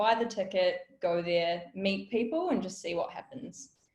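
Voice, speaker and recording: With a New Zealand accent, a woman speaks at a medium pitch. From New Zealand, South Auckland. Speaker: business founder and workshop speaker. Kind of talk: webinar talk. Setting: online webinar.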